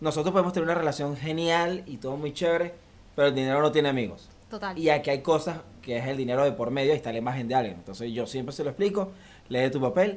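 This man talks very fast, his fairly high pitch carried by lively intonation. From Venezuela (Valencia). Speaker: photographer. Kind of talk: interview.

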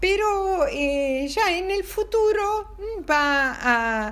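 The voice has a warm tone and lively intonation, and audible room echo surrounds it. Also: woman. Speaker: storyteller for children. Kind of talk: bedtime storytelling. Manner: warm, halting with fillers.

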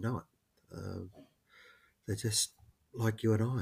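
This man has an Australian accent, a medium pitch and a somewhat breathy voice. The recording is very clean, with a silent background. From Queensland, Australia. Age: 50s. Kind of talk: interview conversation.

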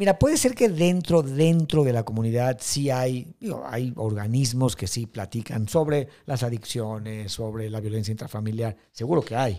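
A man's dark, mellow voice of medium pitch, with ordinary pitch variation, a fairly slow pace and hardly any pauses, in a very clean recording with a silent background. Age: 50s. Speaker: filmmaker. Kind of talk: interview.

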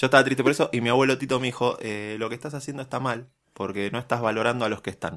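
At a very fast pace, a man speaks with medium pitch and fairly even intonation. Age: 30s. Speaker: podcast co-host. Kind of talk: casual chat.

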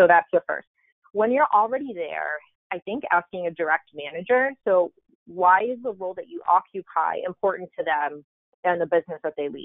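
This woman has a plain, everyday voice at a medium pitch. She speaks at a moderate pace with big swings in loudness. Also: lively intonation. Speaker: marketing executive. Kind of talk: casual chat.

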